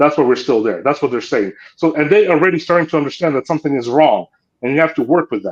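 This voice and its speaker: With a Ukrainian accent, a man talks at a very fast pace and a fairly high pitch. His pitch variation is ordinary, and the background is quiet. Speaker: political commentator, former diplomat. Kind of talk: panel discussion.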